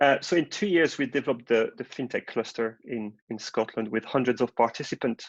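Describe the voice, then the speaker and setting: A man with a French accent, medium pitch, ordinary pitch variation, a fairly quick pace and hardly any pauses, in a dry, close sound with no echo. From France. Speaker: marketing director. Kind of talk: webinar presentation. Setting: online webinar.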